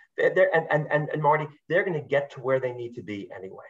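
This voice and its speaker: With a somewhat breathy sound, a man speaks at a fairly high pitch and with lively intonation. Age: 60s. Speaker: youth sports program founder. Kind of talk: interview. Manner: animated, repetitive stammering.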